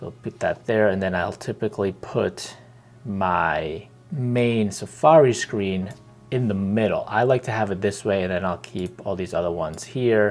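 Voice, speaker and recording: A man's fairly low voice with ordinary pitch variation, music playing in the background. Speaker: tech reviewer. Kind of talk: tutorial. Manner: deliberately slow.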